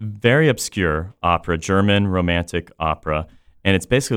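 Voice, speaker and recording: A man with a very deep, low voice and an American accent talks at a moderate pace with ordinary pitch variation. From Central Florida. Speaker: opera company director. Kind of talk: casual chat.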